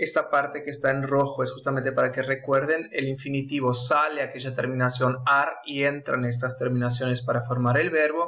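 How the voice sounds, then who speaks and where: With a bright, sharp tone, a man speaks at a fairly quick pace with hardly any pauses. His intonation stays monotone and flat. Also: medium pitch for a man. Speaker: Spanish teacher. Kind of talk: tutorial.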